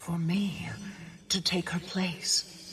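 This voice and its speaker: A put-on character voice at middle pitch. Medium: video game.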